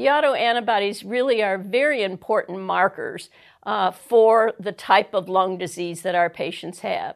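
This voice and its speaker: A woman talks at a moderate pace in a plain, everyday voice, with ordinary pitch variation. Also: medium pitch for a woman. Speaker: rheumatologist. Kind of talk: medical lecture presentation.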